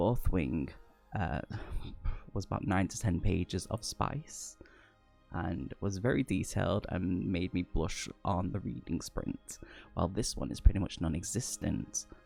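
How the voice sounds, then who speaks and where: Over music in the background, a man with a very deep, low pitch talks at a fairly slow pace with lively intonation. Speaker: book reviewer. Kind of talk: casual talk to camera, book review. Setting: close to microphone.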